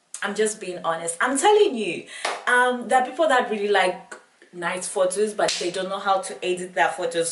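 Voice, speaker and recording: Her medium-pitched voice has lively intonation and a moderate pace. There is noticeable background noise and audible room echo. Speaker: beauty and lifestyle vlogger. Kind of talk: casual vlog talk to camera. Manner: animated.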